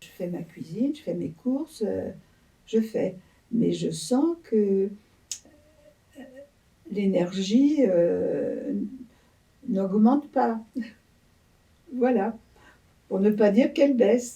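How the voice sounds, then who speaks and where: Very slowly and with long, frequent pauses, a woman speaks at a fairly high pitch with lively intonation. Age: 80s+. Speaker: elderly interviewee. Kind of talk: interview.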